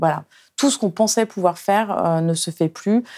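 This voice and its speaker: A woman's medium-pitched voice with a dark, mellow tone on a very clean recording with a silent background. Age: 50s. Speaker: journalist and author. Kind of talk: interview. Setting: studio. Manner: halting.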